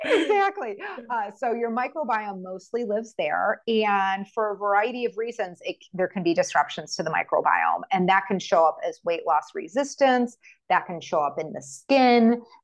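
Using an ordinary speaking voice, a woman with an American accent talks at a moderate pace, her fairly high pitch carrying lively intonation. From United States. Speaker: functional medicine physician. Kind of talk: interview.

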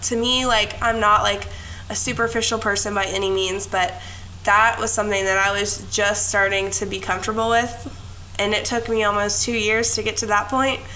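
A woman's medium-pitched, monotone voice at a moderate pace, with flat intonation and noticeable background noise. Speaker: podcast co-host and mom. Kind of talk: casual chat. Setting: remote recording, talking over mics.

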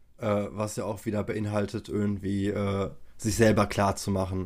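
The delivery moves at a fairly slow pace. Its intonation stays flat and monotone. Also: man. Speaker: podcast host. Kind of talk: interview.

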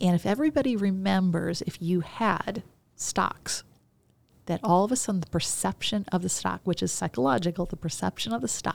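A woman with an American accent, a normal speaking voice at fairly low pitch, lively intonation, moderate pace, and a very clean recording with a silent background. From US Midwest, Chicago. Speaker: business coach and psychologist. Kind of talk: interview conversation. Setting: studio.

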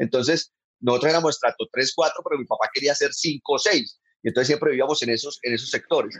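Recorded in a dry, close sound with no echo, a man speaks at a very fast pace. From Colombia, Bucaramanga (Santander). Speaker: comedian. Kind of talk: casual chat. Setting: video call.

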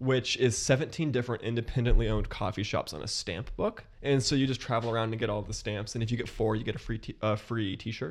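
On a very clean recording with a silent background, a man with a Midwestern American accent talks at a very fast pace and medium pitch, with ordinary pitch variation and hardly any pauses. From US Midwest, Columbus, Ohio. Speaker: podcast guest, young professional. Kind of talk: casual chat.

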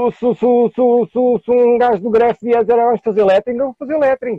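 At a moderate pace, a man talks at an extremely high pitch. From Portugal, Lisbon area. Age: 40s. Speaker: graffiti artist, music producer and MC. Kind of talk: casual interview.

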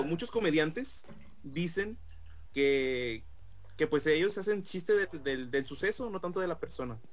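A high-pitched man is speaking. He uses lively intonation. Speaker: podcast co-host. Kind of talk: casual chat.

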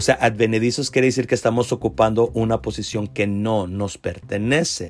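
At a moderate pace, a man speaks at medium pitch with ordinary pitch variation in a normal speaking voice. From US South, Rio Grande Valley, Texas. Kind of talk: Bible teaching monologue.

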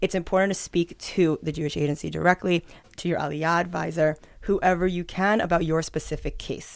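A woman with a plain, everyday voice speaks at a fairly quick pace and a fairly low pitch on a very clean recording with a silent background. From northern Israel, from age fourteen; born in New York. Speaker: immigration advisor. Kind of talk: interview.

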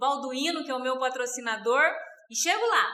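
Projected and raised, a woman's bright, sharp voice moves at a moderate pace amid audible room echo. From Rondônia, Brazil. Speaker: network marketing distributor. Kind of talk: interview.

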